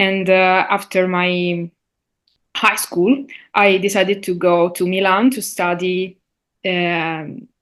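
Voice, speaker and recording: A woman with an Italian accent speaks very slowly at a medium pitch against a quiet background. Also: fairly even intonation. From Sicily, Italy. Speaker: linguist, university lecturer. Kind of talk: interview. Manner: halting, many fillers.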